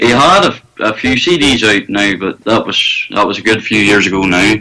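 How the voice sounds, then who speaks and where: In a Northern Irish accent, a man talks. His pitch sits fairly low. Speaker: country singer. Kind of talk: casual chat.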